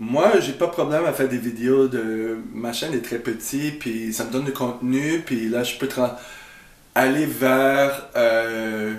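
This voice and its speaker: A man with a strong English accent speaks at a very slow pace in a medium pitch with fairly even intonation. Audible room echo and noticeable background noise surround his voice. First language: English (speaking French). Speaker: YouTuber. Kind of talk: video reaction commentary. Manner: halting, many hesitations.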